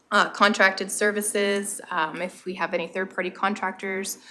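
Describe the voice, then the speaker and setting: Speaking at a medium pitch with fairly even intonation, a woman has a normal speaking voice. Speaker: municipal staff presenting fire department budget. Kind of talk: budget presentation at council meeting.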